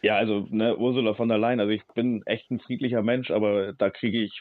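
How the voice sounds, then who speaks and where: An ordinary speaking voice from a man, fairly low in pitch, at a fairly quick pace with fairly even intonation. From Hamburg, northern Germany. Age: 40s. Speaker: ship captain and refugee aid activist. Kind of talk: interview.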